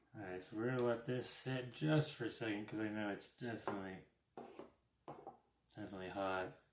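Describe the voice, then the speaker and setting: Speaking at a fairly quick pace with long, frequent pauses, a man with a fairly low pitch is heard in audible room echo. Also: ordinary pitch variation. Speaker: RC hobby YouTuber. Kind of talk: live stream unboxing. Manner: quiet, keeping voice down.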